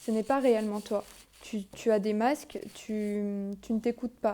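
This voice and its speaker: A woman's fairly high voice with a dark, mellow tone, very slow and fairly even in intonation, on a very clean recording with a silent background. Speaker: tarot card reader. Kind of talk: card reading guidance. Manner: halting, many fillers.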